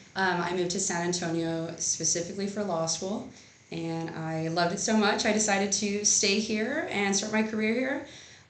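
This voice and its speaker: A woman speaks at a moderate pace and medium pitch with an American accent, ordinary pitch variation, audible room echo and noticeable background noise. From Texas, Rio Grande Valley (Edinburg). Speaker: lawyer. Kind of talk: interview. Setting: law office.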